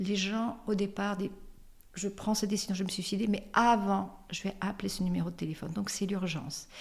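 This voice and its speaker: A somewhat breathy woman at a medium pitch, talking at a moderate pace. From France, Limoges. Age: 60s. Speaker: suicide helpline volunteer, association president. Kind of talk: interview. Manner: hesitant, many fillers.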